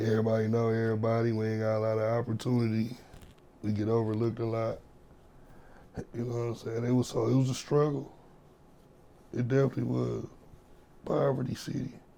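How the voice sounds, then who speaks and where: With an American accent, a man talks at a fairly quick pace and medium pitch in a monotone, flat intonation, broken by long, frequent pauses. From Flint, Michigan. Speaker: rapper. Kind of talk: casual interview chat.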